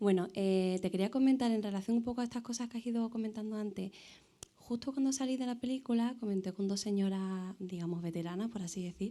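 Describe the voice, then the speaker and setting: A woman talks very fast with a fairly high pitch. Her pitch varies an ordinary amount. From Seville, Andalusia, Spain. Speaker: audience member. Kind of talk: audience question and comment. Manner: halting, many fillers.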